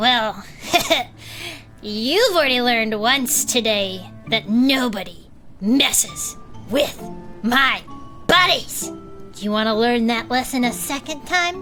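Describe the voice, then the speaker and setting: Using a put-on character voice, a woman speaks at a fairly slow pace and a fairly high pitch while clear music plays in the background. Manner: threatening.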